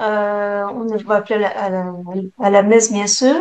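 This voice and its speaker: A woman's fairly high voice, very slow pace and fairly even intonation. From Quebec City, Canada. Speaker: prayer group leader. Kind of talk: testimony. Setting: video call. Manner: hesitant.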